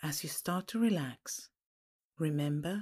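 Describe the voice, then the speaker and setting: A woman's very deep, low voice, dark and mellow, somewhat breathy and calm and soothing in tone, with ordinary pitch variation. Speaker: podcast host and pathworking guide. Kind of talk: guided meditation, reading a pathworking aloud. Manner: slow, calm, soothing, gently paced with pauses; soft-spoken, hypnotic and reassuring.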